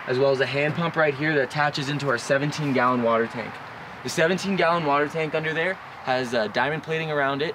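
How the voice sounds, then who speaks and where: A man at a fairly quick pace, fairly even intonation, noticeable background noise behind him. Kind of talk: product walkthrough. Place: forest. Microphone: camera far.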